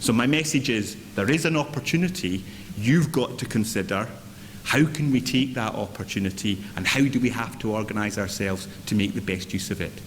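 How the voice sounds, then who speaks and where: A Scottish accent marks this man's speech, pitched medium and delivered at a fairly quick pace. His intonation is lively, and room echo is audible. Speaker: chief executive of a local government association. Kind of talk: conference speech. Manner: energetic.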